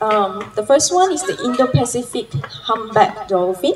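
This woman's fairly high voice moves at a moderate pace, with very wide pitch swings. There is audible room echo and light background noise. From Penang, Malaysia; Malaysia. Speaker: marine science lecturer. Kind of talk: conference talk. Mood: friendly, explanatory. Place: garden. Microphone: handheld.

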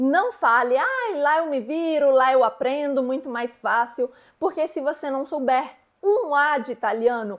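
Against a quiet background, a woman speaks fairly slowly at a high pitch with ordinary pitch variation. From Brazil. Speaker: YouTuber and relocation consultant; YouTuber. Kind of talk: vlog tutorial. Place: home room. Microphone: lapel.

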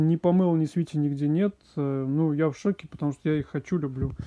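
The speech runs at a fairly quick pace over a quiet background. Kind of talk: casual vlog commentary. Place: garden. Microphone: phone near.

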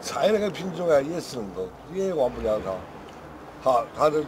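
With very wide swings in pitch, a man speaks at a moderate pace over noticeable background noise. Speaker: veteran chef. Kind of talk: casual chat.

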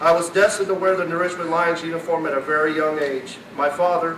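There is audible room echo and light background noise as a man speaks at a fairly high pitch with fairly even intonation. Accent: American. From US Midwest. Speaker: former high school athlete. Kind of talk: acceptance speech. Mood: grateful, nostalgic. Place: hall. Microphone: podium.

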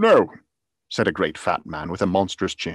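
Theatrical and animated, with vocal fry and very wide pitch swings, the voice moves at a moderate pace over a quiet background, the sound dry with no echo. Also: man. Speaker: audiobook narrator. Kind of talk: dramatic reading aloud of a Victorian novel, performed with character voices; dramatic reading of a story. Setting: video call with live online audience. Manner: theatrical, animated, shifting voice for each character. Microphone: studio mic.

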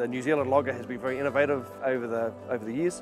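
A man talks at a very fast pace with ordinary pitch variation. Clear music plays in the background, and the sound is dry with no echo. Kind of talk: interview answer. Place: forest. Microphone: lapel.

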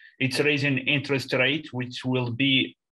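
Over a quiet background, a man talks in a bright, sharp tone with monotone, flat intonation. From Mauritania. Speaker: student. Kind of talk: question in seminar discussion. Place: home room. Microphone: webcam.

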